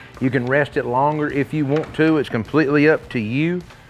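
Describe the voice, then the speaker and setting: A man at a fairly quick pace with faint music in the background. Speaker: host. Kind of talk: tutorial. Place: garden. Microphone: lapel.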